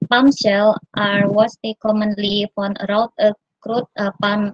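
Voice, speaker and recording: A woman speaks in a somewhat breathy, monotone, flat way, with a dry sound and no echo. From Indonesia. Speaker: university researcher; conference presenter. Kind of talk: conference presentation. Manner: halting. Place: home room. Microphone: video call.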